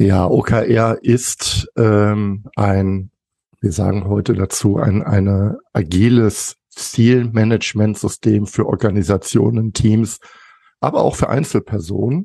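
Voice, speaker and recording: Fairly low in pitch, a man speaks at a very slow pace with fairly even intonation and very even loudness. The sound is dry and close, with no echo. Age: 50s. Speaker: management consultant. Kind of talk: interview.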